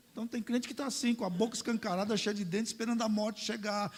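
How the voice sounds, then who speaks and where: This man's voice sits at an extremely high pitch. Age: 60s. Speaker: pastor. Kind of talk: sermon. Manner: animated.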